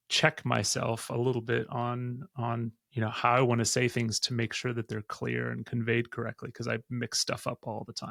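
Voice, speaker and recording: Man with an American accent, monotone and flat, moderate pace with hardly any pauses, dry and close sound with no echo. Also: medium pitch for a man. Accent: sounds American. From Austria, with American mother. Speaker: podcast host. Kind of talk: interview podcast; scripted outro.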